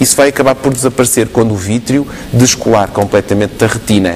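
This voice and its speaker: Amid noticeable background noise, a man of medium pitch speaks at a moderate pace with ordinary pitch variation. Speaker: ophthalmologist answering viewer questions. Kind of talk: explaining medical answers on TV call-in.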